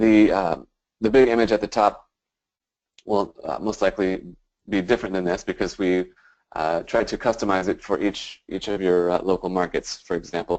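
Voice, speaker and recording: Against a quiet background, a man speaks with a fairly low pitch and fairly even intonation. He leaves long, frequent pauses. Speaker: webinar presenter. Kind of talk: webinar presentation. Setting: online webinar. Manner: fast; many filler words.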